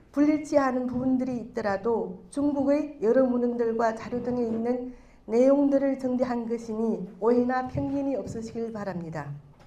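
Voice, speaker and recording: A woman with a Chinese accent, high pitch and ordinary pitch variation, a dark, mellow tone, a fairly slow pace, and audible room echo. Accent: Chinese accent in Korean. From China. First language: Chinese (speaking Korean). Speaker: clan association vice-president. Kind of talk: prepared speech read aloud. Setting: stage with audience. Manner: formal.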